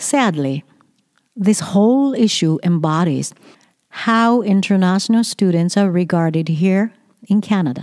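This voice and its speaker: A woman with a Japanese accent speaks at a fairly slow pace and a medium pitch. Her intonation is lively, her loudness very even. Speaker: education consultant and podcaster. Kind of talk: opinion monologue. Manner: read from script.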